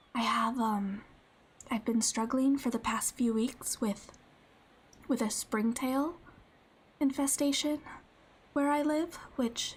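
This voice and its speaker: A very slow pace with long, frequent pauses. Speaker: vtuber streamer. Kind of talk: ASMR stream chat. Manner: halting, many fillers.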